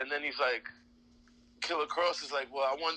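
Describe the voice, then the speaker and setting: A man speaks in a New York accent at a fairly high pitch, with fairly even intonation. His tone is bright and sharp. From Queens, New York. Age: 30s. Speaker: professional wrestler. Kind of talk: casual interview chat.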